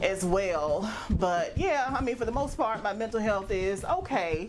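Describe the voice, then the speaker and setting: Over background music in a room with audible echo, a woman with a medium-pitched voice sounds animated, her intonation lively. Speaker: vlogger. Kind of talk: casual vlog monologue. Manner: fast.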